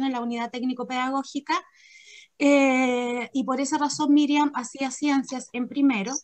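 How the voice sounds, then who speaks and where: A woman talks with a high pitch and monotone, flat intonation. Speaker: school pedagogical coordinator. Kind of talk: staff meeting briefing. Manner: fast.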